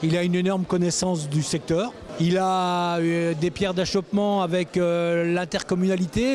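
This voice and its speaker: A man speaks with a high voice at a fairly slow pace. Noticeable background noise sits behind him. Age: 60s. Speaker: campaign supporter. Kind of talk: vox pop interview.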